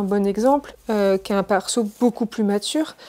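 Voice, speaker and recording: A woman's fairly high pitch with fairly even intonation. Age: 30s. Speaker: cosplayer and YouTuber. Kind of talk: casual chat. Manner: fast; hesitant, many fillers.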